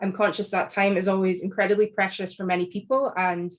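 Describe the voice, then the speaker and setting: In a Scottish accent, a woman talks at a medium pitch and a fairly quick pace against a quiet background. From Scotland. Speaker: academic author. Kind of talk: panel talk. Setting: video call. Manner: formal.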